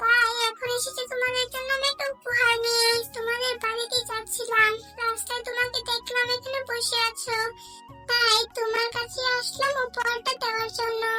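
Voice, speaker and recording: Against clear background music, a cartoonish character voice at an extremely high pitch speaks at a moderate pace in a monotone, flat delivery. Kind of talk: children's cartoon voice acting. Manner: gentle, soothing.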